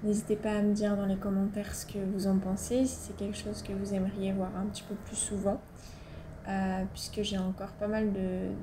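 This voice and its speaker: A woman's medium-pitched voice carries monotone, flat intonation at a moderate pace. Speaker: motorcycle vlogger. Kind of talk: casual voice-over narration for a motovlog. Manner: chatty, hesitant.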